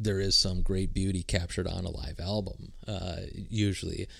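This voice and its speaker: A man with a very deep, low pitch speaks at a fairly slow pace. Audible room echo is present. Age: 30s. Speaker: music podcast co-host. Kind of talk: casual chat.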